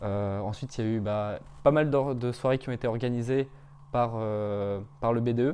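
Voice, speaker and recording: A man's dark, mellow tone at a fairly slow pace, with fairly even intonation. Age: 20s. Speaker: business school student. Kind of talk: interview testimony. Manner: hesitant, many fillers. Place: home room. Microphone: lapel.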